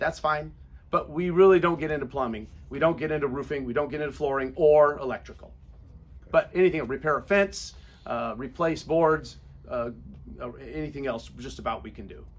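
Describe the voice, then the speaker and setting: A man with an ordinary speaking voice, fairly high in pitch, fairly quick, with ordinary pitch variation and big swings in loudness. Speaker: painting contractor. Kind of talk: business presentation Q&A.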